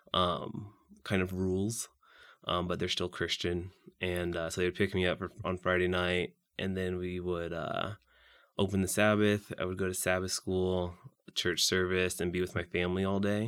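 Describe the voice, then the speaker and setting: A very deep, low-pitched man with a Midwestern American accent, monotone, flat intonation and a moderate pace, on a very clean recording with a silent background. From US Midwest, Saint Joseph, Missouri. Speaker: young adult churchgoer. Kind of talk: faith testimony interview. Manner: hesitant, many fillers.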